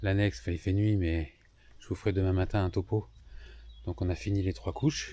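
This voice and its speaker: A soft-spoken, somewhat breathy man with a very deep, low voice. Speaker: sailing vlogger. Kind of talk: vlog narration. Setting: outdoors at night in a marina. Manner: casual, hesitant. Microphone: far from the mic.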